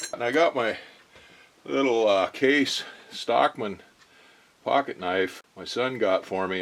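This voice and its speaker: The speaker has a relaxed tone and ordinary pitch variation. Noticeable background noise runs under the voice. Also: man. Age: 60s. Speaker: machinist and workshop vlogger. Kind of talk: casual workshop vlog, unboxing. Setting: home workshop. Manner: relaxed, hesitant with fillers.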